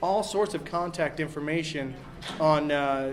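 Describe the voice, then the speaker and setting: A man speaks loudly. The room echo is audible, and there is noticeable background noise. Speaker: game master at a convention panel. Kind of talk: panel discussion.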